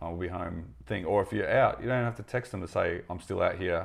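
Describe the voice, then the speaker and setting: A man's very deep, low voice with an Australian accent, fairly quick pace and ordinary pitch variation against a quiet background. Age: 30s. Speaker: podcast host. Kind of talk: casual chat.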